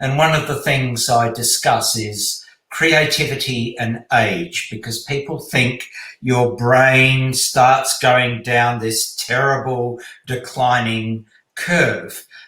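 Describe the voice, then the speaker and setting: A man's medium-pitched voice at a very slow pace, fairly even in intonation, with audible room echo. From Poland. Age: 60s. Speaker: speed reading teacher. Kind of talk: interview.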